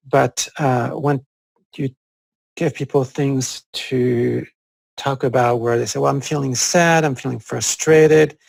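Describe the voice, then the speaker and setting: With a French accent, a man speaks at medium pitch and a fairly slow pace, his intonation fairly even. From France, Corsica. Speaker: psychologist. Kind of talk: interview conversation. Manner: halting, many fillers.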